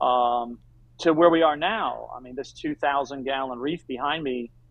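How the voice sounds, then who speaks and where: A man with an American accent talks at a moderate pace and medium pitch in an unremarkable speaking voice. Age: 60s. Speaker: aquarium company owner. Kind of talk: interview.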